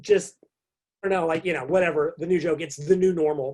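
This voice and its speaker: With an American accent, a man is talking. His voice sits fairly high in pitch. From US. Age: 50s. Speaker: fitness and nutrition writer. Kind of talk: podcast interview. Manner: halting, many fillers.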